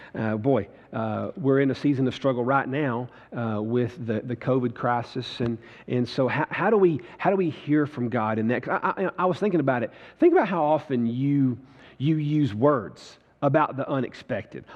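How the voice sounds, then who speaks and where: A man talks in a plain, everyday voice at a medium pitch. He keeps a moderate pace with ordinary pitch variation. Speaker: preacher. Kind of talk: church sermon, live preaching to congregation.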